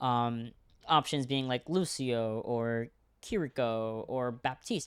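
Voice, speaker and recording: A very clean recording with a silent background, in a Spanish accent. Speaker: esports caster. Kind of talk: live commentary. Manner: casual, hesitant with fillers.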